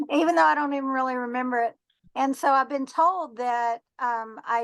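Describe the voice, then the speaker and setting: A woman's high voice with a Texan accent, ordinary pitch variation and a moderate pace. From Texas. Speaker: treasure hunter and metal detectorist. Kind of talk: podcast interview. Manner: halting, many fillers.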